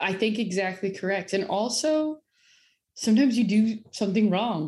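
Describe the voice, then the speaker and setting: A woman speaks at a medium pitch, somewhat breathy, with a dark, mellow tone and lively intonation. The recording is very clean, with a silent background. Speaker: company president and co-founder. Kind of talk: interview. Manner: soft-spoken.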